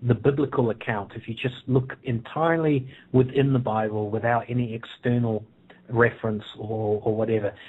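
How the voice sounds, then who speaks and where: A man talks with fairly even intonation in a New Zealand accent. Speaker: author. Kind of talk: interview. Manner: halting, many fillers.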